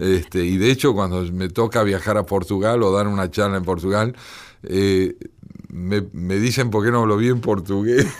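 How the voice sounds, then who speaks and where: A man with an unremarkable speaking voice talks at a fairly low pitch and a moderate pace with fairly even intonation. The recording is very clean, with a silent background. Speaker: poet and translator. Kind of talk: radio interview.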